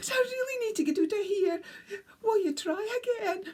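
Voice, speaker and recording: A woman's put-on character voice in a northeast Scottish accent, extremely high-pitched, at a moderate pace. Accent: Scottish Doric. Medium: read story. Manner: excitable.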